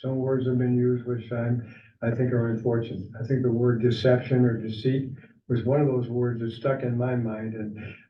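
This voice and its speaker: Room echo can be heard as a man speaks at a medium pitch with monotone, flat intonation. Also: moderate pace. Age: 80s+. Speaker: committee chairman. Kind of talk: public meeting. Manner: halting.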